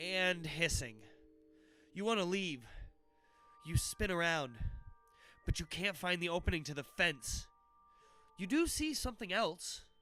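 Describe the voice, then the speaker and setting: A man with a high voice speaks at a fairly slow pace with lively intonation and long, frequent pauses, music playing in the background. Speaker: livestream book reader. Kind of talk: children's horror book read aloud.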